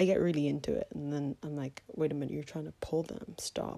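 A woman speaks at a fairly quick pace in a very deep, low voice, her tone dark and mellow with vocal fry. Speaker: podcaster. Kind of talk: casual chat. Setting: at home. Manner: rambling, chatty.

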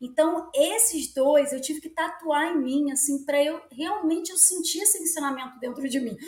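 A woman speaks at a moderate pace with hardly any pauses, her pitch high and its variation ordinary. Her loudness swings widely, and background noise is noticeable. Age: 40s. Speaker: children's book author and yoga practitioner. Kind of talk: interview conversation.

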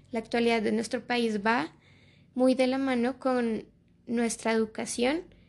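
The voice keeps a fairly slow pace and fairly even intonation. The background is quiet. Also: woman, fairly high pitch for a woman. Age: 20s. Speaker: student podcast host. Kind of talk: casual conversational podcast intro. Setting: sitting next to her father. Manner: halting, frequent repetitions.

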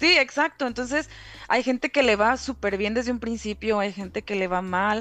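A moderate pace and ordinary pitch variation over music in the background. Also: woman, fairly high pitch for a woman. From Mexico, Reynosa, Tamaulipas. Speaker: content moderator. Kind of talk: casual chat.

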